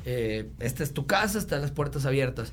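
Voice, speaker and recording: Room echo can be heard. Delivery comes fairly quickly. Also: man. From Mexico, Monterrey. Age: 30s. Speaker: sports enthusiast and social media influencer. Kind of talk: casual chat.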